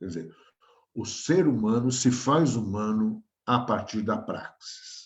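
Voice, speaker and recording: A man's very slow, somewhat breathy voice at medium pitch, with ordinary pitch variation, big swings in loudness and audible room echo. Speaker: professor. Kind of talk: lecture.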